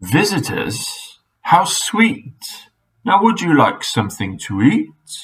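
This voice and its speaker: Very slow put-on character voice from a man. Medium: read story. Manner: polite, genteel.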